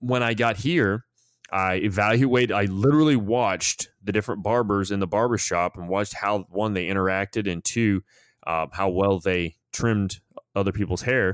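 In a very clean recording with a silent background and a dry, close sound with no echo, a man speaks at a moderate pace in a fairly low pitch with ordinary pitch variation, in a normal speaking voice. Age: 40s. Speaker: podcast host and former soldier leader. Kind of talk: casual conversational podcast.

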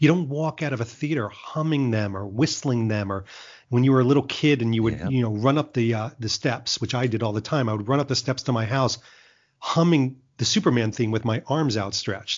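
A man speaks in a plain, everyday voice at a medium pitch. He talks at a fairly quick pace with ordinary pitch variation. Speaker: marketing executive and Bond fan vlogger. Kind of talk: casual interview.

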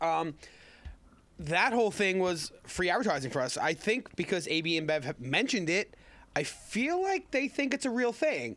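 With an American accent, this voice swings very widely in pitch at a moderate pace and holds a very even loudness. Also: man, high pitch for a man. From Long Island, New York. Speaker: meadery owner. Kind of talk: casual chat.

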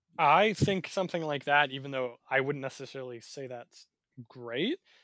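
A man with a plain, everyday voice and a fairly high pitch talks at a moderate pace, his pitch varying in an ordinary way. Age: 20s. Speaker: podcast co-host. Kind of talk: casual chat. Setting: remote recording.

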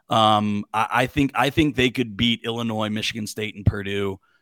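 A man with an American accent has a plain, everyday voice of medium pitch, moving at a moderate pace with fairly even intonation. The recording is very clean and dry, close with no echo and a silent background. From Pittsburgh, Pennsylvania. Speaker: college football podcaster. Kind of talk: casual sports chat.

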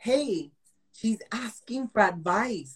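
Somewhat breathy and animated in tone, a woman speaks with an American accent. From Texas, El Paso. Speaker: life coach and realtor. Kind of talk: casual interview. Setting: video call.

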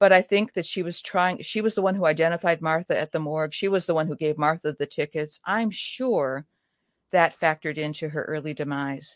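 Over a quiet background, a woman with a normal speaking voice talks at a fairly quick pace, her fairly low pitch showing ordinary variation in a dry, close sound with no echo. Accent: American. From US Midwest. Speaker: writer. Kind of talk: interview.

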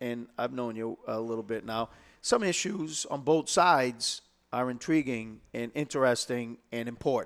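A man with a Boston accent, medium pitch and ordinary pitch variation at a fairly slow pace, on a very clean recording with a silent background. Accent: Boston-area New England. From Lowell, Massachusetts. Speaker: state senate candidate, retired police officer. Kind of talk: interview. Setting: studio. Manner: halting, repeats words.

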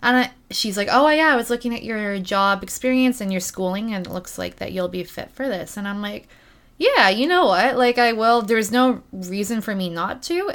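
With a Canadian accent, a woman speaks in an ordinary speaking voice, fairly high in pitch, at a moderate pace. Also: ordinary pitch variation. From Ontario, Canada. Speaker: community support coordinator. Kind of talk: casual chat. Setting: in person.

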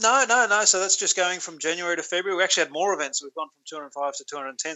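This man has lively intonation and speaks with an Australian accent. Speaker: statistics contributor. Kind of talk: casual chat.

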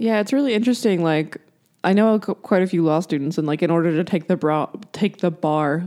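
A woman speaks in a plain, everyday voice. Her pitch is fairly low, with ordinary variation. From South Carolina. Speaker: podcast co-host for an abortion-rights group. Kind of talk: casual chat.

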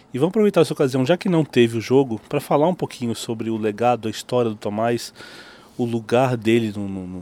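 A man talks at a fairly quick pace with a medium pitch and ordinary pitch variation. His tone is dark and mellow. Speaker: podcast host, tennis journalist. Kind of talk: interview. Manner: halting.

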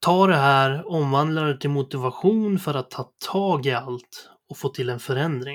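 This man has an ordinary speaking voice, fairly high in pitch, delivered at a fairly slow pace with hardly any pauses and ordinary pitch variation, in a very clean recording over a silent background. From Sweden, Sundsvall area (Medelpad). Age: 30s. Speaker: podcast host. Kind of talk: personal monologue, scripted narration.

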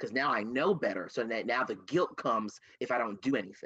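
A man with an American accent, an unremarkable speaking voice and a medium pitch at a fairly quick pace. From Camden, New Jersey. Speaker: diversity and inclusion director and consultant. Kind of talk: casual interview conversation.

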